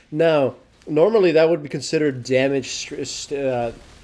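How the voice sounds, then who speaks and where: There is noticeable background noise as a man talks at a fairly quick pace in a fairly high pitch. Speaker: gaming commentator. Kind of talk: gameplay commentary. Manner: stuttering; casual.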